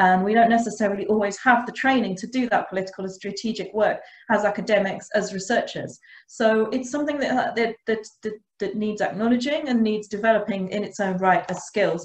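Speaking at a fairly quick pace, a woman's voice picks up audible room echo. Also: medium pitch for a woman, ordinary pitch variation.

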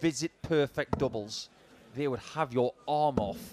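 Speaking at a moderate pace, a man has a normal speaking voice, a fairly high pitch and ordinary pitch variation. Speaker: darts pundit. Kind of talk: live sports commentary. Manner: analytical, conversational.

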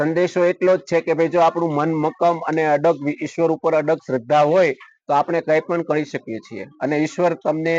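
A man has an ordinary speaking voice with fairly high pitch. His intonation is fairly even. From Gujarat, India (Amreli district). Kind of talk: news interview testimony.

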